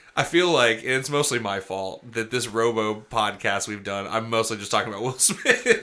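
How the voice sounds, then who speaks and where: Over noticeable background noise, a man talks at a moderate pace and medium pitch in an animated tone, with ordinary pitch variation and hardly any pauses. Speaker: comedy podcast host. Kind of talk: casual comedic banter. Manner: animated, joking.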